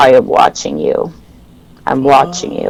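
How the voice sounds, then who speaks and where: Someone uses a raspy, put-on character voice. The pace is moderate. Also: man. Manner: menacing, repetitive.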